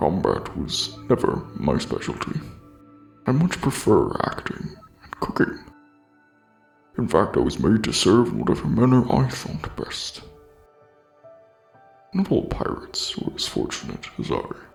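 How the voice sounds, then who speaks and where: Someone uses a put-on character voice at a moderate pace with long, frequent pauses. Faint music plays in the background. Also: man. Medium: machinima. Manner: formal, courteous.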